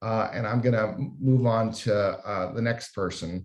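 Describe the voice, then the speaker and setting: Here a man with a normal speaking voice and medium pitch talks at a moderate pace with ordinary pitch variation. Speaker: health data researcher / panel moderator. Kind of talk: panel presentation.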